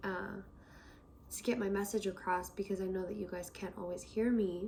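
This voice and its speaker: A woman speaks in a soft-spoken voice. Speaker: tarot reader. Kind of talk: tarot reading. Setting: indoors.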